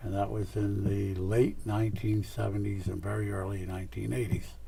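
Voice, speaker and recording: In a room with audible echo, a man with an American accent speaks at a moderate pace, his fairly low pitch somewhat breathy, dark and mellow in tone, with ordinary pitch variation. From US Northeast (Scranton, Pennsylvania). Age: 90s. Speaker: retired lawyer and real estate developer. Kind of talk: oral history interview. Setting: television studio.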